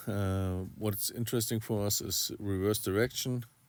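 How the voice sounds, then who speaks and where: A man with a non-native accent speaks fairly slowly at a fairly low pitch, his intonation monotone and flat. The recording is very clean, with a silent background. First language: not English. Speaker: RC hobby YouTuber. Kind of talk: tutorial. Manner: halting, many fillers.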